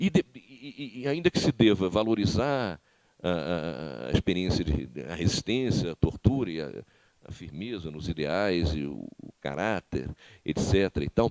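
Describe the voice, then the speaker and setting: Speaking fairly slowly, a man with a very deep, low pitch uses vocal fry, very wide pitch swings and big swings in loudness, captured in a dry, close sound with no echo. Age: 60s. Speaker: former political prisoner and author. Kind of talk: lecture. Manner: halting, frequent repetitions.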